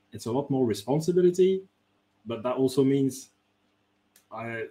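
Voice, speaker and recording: The somewhat breathy voice has a dark, mellow tone, a moderate pace and ordinary pitch variation. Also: man. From France. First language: French. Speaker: game designer. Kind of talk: interview.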